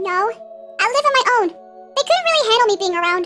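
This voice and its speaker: A squeaky, put-on character voice at a fairly quick pace over clear background music. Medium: machinima. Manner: insecure, self-deprecating.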